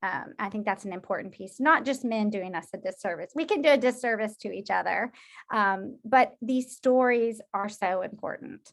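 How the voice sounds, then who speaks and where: A woman has an unremarkable speaking voice, fairly high in pitch with ordinary pitch variation and big swings in loudness. She keeps a moderate pace on a very clean recording with a silent background. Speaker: social work professor. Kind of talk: lecture.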